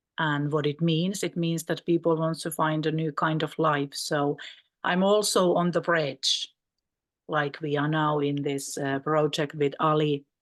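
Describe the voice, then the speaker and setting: A woman speaks in a very deep, low voice with a Finnish accent and monotone, flat intonation. The background is quiet. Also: fairly slow pace. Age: 50s. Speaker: mental health practitioner. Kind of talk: conference panel talk. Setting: video call.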